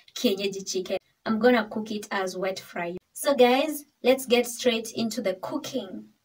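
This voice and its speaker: The speaker is a woman. She talks at a moderate pace with ordinary pitch variation. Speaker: cooking vlogger. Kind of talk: casual vlog chat. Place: kitchen. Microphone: phone near.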